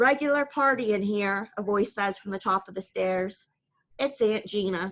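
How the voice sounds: Quiet background behind a natural reading voice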